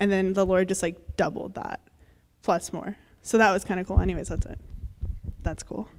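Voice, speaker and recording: A woman at a medium pitch speaks with vocal fry, big swings in loudness, and long, frequent pauses. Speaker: youth speaker. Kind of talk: testimony. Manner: fast; casual, filler-heavy.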